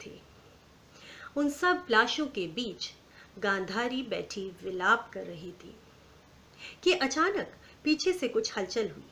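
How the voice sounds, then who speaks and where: There is noticeable background noise. Over it, a woman speaks with a fairly high pitch. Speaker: storyteller. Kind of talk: story narration.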